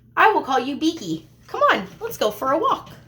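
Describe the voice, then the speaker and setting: A woman adopts a put-on character voice, high in pitch and at a moderate pace. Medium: read story. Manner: friendly, chatty.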